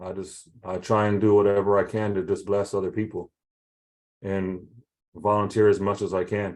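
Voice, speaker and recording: A man speaks with a fairly low pitch. The background is quiet. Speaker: realtor and broker. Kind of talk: interview on a video call.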